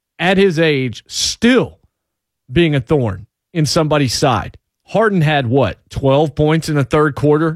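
An ordinary speaking voice at a fairly slow pace, with lively intonation, very even loudness, and a dry, close sound with no echo. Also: man. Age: 40s. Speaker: sports radio host. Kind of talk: call-in sports talk radio. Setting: radio studio.

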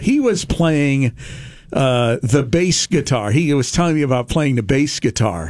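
In an American accent, a man speaks at a fairly high pitch in a somewhat breathy voice. His tone is animated, with lively intonation and a moderate pace. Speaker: radio call-in show host. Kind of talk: call-in radio show. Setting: radio studio. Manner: animated, jokey.

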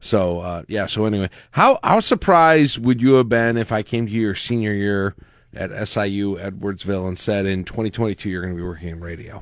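A man with an American accent and an unremarkable speaking voice talks at a fairly quick pace, fairly low in pitch with ordinary pitch variation. The recording is very clean, with a silent background. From Lincoln, Nebraska. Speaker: radio morning show host. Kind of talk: casual chat. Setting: home basement.

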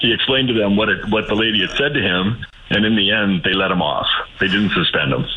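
Against noticeable background noise, a man with a fairly low pitch talks at a very fast pace. His loudness stays very even, with ordinary pitch variation. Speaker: boyfriend of host telling a story. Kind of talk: casual storytelling. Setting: phone call.

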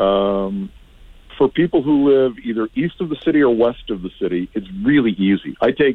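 A man's unremarkable speaking voice, fairly quick, with lively intonation. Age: 50s. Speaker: team communications director and radio voice. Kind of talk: radio interview about sports. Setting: phone call.

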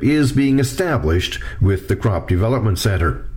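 Lively intonation marks this man's speech at a moderate pace. Noticeable background noise is present. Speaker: agricultural journalist. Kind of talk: scripted news report.

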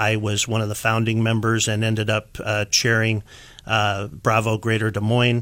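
Speaking in a Midwestern American accent at a moderate pace, the voice stays monotone and flat on a very clean recording with a silent background. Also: man, fairly low pitch for a man. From Iowa, US Midwest. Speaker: patent attorney. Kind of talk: interview. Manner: frequent filler words.

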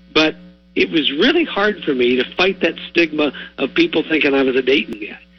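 With music in the background, a man in an American accent speaks at a fairly quick pace, fairly high in pitch with ordinary pitch variation. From southwest Ohio (Warren County). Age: 60s. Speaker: retired TV sportscaster. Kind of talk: radio interview.

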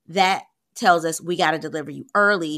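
A woman with an unremarkable speaking voice and fairly low pitch at a moderate pace, in a very clean recording with a silent background. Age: 40s. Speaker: physician, high-risk pregnancy specialist. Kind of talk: educational podcast monologue. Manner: casual, conversational.

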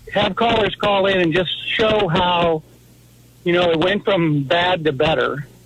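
Amid noticeable background noise, a man with a high pitch speaks at a fairly slow pace, his loudness very even throughout. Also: ordinary pitch variation. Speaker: caller. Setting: phone call.

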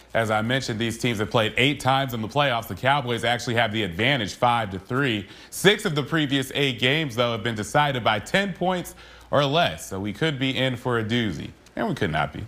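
Lively intonation in a man's voice of medium pitch. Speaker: sports anchor. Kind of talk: sports highlights narration. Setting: TV studio. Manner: punchy, energetic highlight calls.

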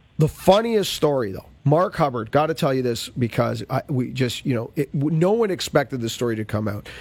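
This man has an unremarkable speaking voice of medium pitch, with lively intonation. He talks at a fairly quick pace with hardly any pauses. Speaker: radio host. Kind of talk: radio interview.

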